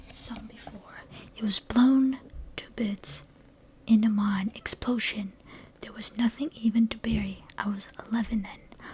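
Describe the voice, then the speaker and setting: A soft-spoken woman whispers at a fairly slow pace, with long, frequent pauses and big swings in loudness. Noticeable background noise sits behind her. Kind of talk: ASMR book reading. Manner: whispered, soft-spoken.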